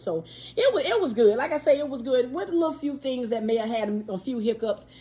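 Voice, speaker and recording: A woman talks at a very fast pace. Her pitch is fairly high. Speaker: YouTuber, craft seller. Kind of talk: casual vlog chat. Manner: repetitive, stammering restarts.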